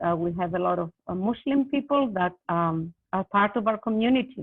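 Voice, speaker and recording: A woman talks at a moderate pace, her pitch swinging very widely. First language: not English. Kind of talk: panel discussion. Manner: halting, many fillers.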